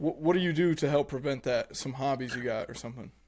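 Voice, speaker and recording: An unremarkable speaking voice with ordinary pitch variation. The recording is very clean, with a silent background. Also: man. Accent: American. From Nebraska. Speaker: podcast co-host. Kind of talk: casual podcast interview.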